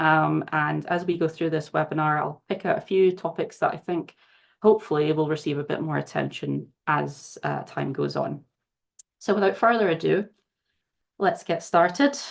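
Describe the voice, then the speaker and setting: A woman with a Glaswegian accent, at a moderate pace, against a quiet background. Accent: Scottish, Glaswegian. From Scotland, Glasgow. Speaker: charity research manager, former scientist. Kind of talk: webinar presentation. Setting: video call webinar.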